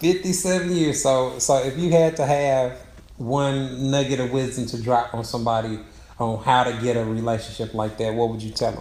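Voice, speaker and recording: A plain, everyday voice belongs to a man speaking at a moderate pace. His pitch is medium, with ordinary pitch variation. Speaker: relationship expert. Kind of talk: interviewer questions, casual conversation.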